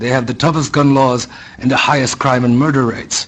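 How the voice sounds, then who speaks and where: A man's fairly high pitch against noticeable background noise. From abroad, immigrant to US. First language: not English. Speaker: member of the public giving testimony. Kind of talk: public hearing testimony. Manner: formal.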